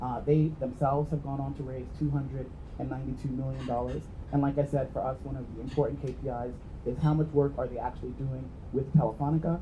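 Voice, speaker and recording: Rushing through his words very quickly, a man is heard in a room with audible echo and clear background noise. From New York, US, after immigrating from Jamaica. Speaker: venture investor, entrepreneur. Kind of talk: conference talk.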